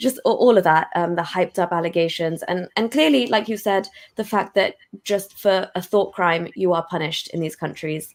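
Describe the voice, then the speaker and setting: The speaker has a British accent and ordinary pitch variation. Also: woman, medium pitch for a woman, moderate pace. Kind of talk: casual interview chat.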